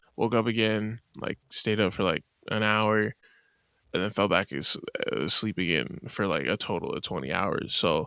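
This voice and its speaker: A man with a bright, sharp tone speaks at a moderate pace with a fairly low pitch, ordinary pitch variation and vocal fry. The recording is very clean, with a silent background and a dry, close sound with no echo. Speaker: podcast host. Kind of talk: casual solo podcast monologue.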